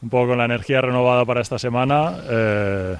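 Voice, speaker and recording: With a plain, everyday voice, a man talks fairly slowly, his pitch medium and his intonation fairly even. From Valencia, Spain. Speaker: professional basketball player. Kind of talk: radio interview.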